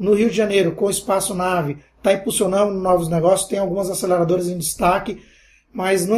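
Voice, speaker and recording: In a very clean recording with a silent background, a man with a high pitch speaks with fairly even intonation. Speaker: entrepreneur and university lecturer. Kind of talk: interview.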